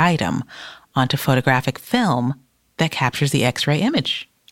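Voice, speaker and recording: Recorded in a dry, close sound with no echo, a woman speaks. She has an American accent and a moderate pace. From US, Detroit. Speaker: podcast co-host. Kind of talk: scripted narration; casual chat.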